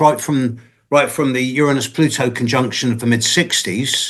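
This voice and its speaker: A man's normal speaking voice, medium in pitch, with ordinary pitch variation at a moderate pace. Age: 60s. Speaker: astrologer. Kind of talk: Q&A after online lecture.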